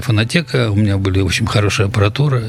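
A man rattles through his words at a very fast pace, with noticeable background noise around him. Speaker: concert promoter. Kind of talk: interview.

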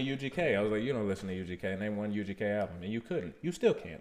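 Very fast speech from a man, fairly low in pitch, with lively intonation. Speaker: podcast host. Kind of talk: casual chat. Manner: animated.

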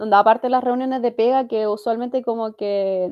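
A woman speaks with a Chilean accent. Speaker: podcast co-host. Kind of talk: casual chat.

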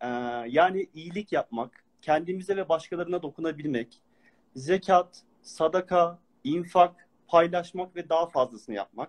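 Speaking at a fairly slow pace, a man with a high voice uses ordinary pitch variation, and the sound is dry and close with no echo. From Turkey, Ankara. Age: 40s. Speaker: Quran study speaker. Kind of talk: religious lecture. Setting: online live stream.

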